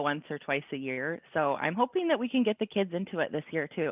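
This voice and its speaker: A woman speaks with lively intonation. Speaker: networker co-host. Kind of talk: casual chat. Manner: loud.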